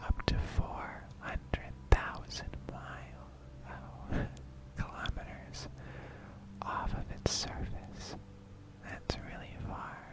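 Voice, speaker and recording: Noticeable background noise runs beneath a very slow whisper broken by long, frequent pauses. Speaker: ASMR creator. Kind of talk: ASMR educational talk. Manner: whispered.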